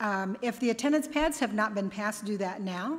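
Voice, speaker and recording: Pitch moves in an ordinary way while the delivery keeps a moderate pace. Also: woman. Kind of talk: church announcements. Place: church. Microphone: podium.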